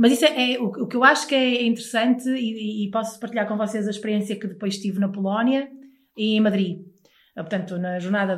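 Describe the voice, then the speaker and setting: A somewhat breathy woman speaks at a moderate pace. Her pitch varies in an ordinary way. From northern Portugal, Porto area (Maia). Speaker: radio host. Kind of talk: casual chat.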